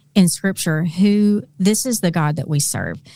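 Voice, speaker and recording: In a Southern US accent, a woman talks at a fairly slow pace, her fairly low voice dark and mellow. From Arkansas. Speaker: Bible teacher. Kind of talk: casual interview.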